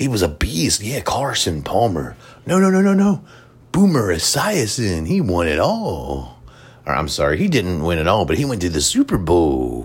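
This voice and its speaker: A man at a moderate pace, with audible room echo. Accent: American. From Cincinnati area, Ohio. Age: 30s. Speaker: podcast host. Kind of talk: solo casual monologue. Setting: hotel room.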